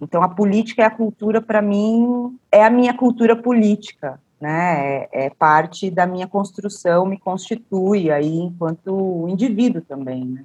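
A woman with a normal speaking voice talks at a medium pitch and a fairly slow pace. Her intonation is lively, and she leaves hardly any pauses. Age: 40s. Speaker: cultural producer and policy researcher. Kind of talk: interview.

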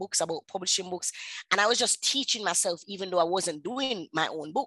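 A woman's medium-pitched voice in a Jamaican accent, bright and sharp in tone, with ordinary pitch variation and a dry, close sound with no echo. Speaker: author and publisher. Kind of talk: interview.

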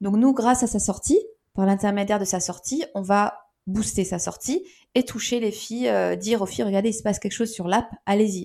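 A woman's dark, mellow tone at a fairly quick pace. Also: medium pitch for a woman, ordinary pitch variation, very clean recording, silent background. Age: 40s. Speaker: startup founder. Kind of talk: interview.

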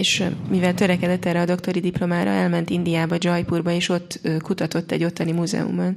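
At a very fast pace, a woman talks in a fairly low pitch with monotone, flat intonation and very even loudness. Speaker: interpreter. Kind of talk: consecutive interpretation.

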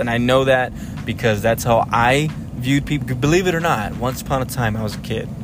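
Over music in the background, a man talks at a medium pitch with audible room echo. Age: 30s. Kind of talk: solo monologue. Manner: halting, many fillers.

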